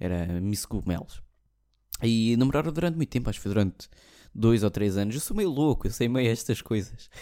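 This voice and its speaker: A man's medium-pitched, dark, mellow voice in a European Portuguese accent, fairly quick with lively intonation, on a very clean recording with a silent background. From Portugal. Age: 20s. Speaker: podcast host. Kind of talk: casual monologue.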